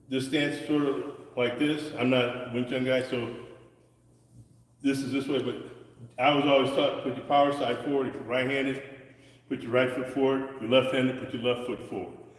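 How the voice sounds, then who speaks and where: A man talks at a fairly quick pace and medium pitch, with monotone, flat intonation and long, frequent pauses. Noticeable background noise and audible room echo fill the recording. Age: 60s. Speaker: martial arts instructor. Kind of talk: live-streamed martial arts lesson. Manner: halting, repetitive.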